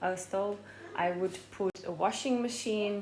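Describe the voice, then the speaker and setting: A woman speaks with a non-native accent and ordinary pitch variation. The recording carries audible room echo and noticeable background noise. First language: not English. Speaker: fitness vlogger. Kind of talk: casual vlog talk. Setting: at home in kitchen. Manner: hesitant, many fillers.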